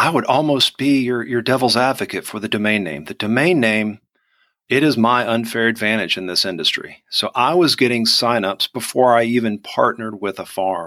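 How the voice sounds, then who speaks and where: A man with a Southern US accent talks at medium pitch with ordinary pitch variation. His tone is bright and sharp, and the recording is very clean with a silent background. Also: moderate pace. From Georgia, US South. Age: 40s. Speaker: onion e-commerce business owner. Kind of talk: casual interview chat.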